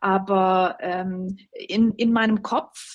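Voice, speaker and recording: A very clean recording with a silent background, carrying a woman's somewhat breathy voice. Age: 40s. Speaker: journalist and opinion editor. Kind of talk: interview.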